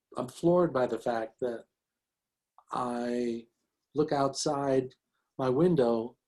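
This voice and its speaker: A man with an American accent speaks at a very slow pace, pausing long and often, his medium pitch carrying a dark, mellow tone and fairly even intonation. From Bronx, New York. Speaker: physician and educator. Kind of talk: interview answer.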